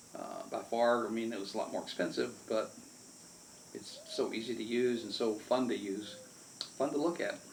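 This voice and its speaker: There is audible room echo as a man speaks with an American accent. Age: 70s. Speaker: amateur photographer and YouTuber. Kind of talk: casual product review. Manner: halting, with many fillers.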